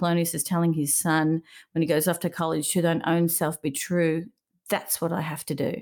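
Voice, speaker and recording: Speaking with an Australian accent, a woman keeps a fairly quick pace, fairly even intonation and a fairly low pitch. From Melbourne, Australia. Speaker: interior designer. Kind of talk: interview conversation.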